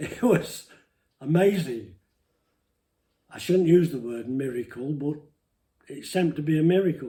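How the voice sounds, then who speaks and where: A man's somewhat breathy, dark, mellow voice, fairly high in pitch, with lively intonation, big swings in loudness, a fairly slow pace and long, frequent pauses. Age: 80s+. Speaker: interviewee telling life story. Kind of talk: personal testimony interview. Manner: emotional.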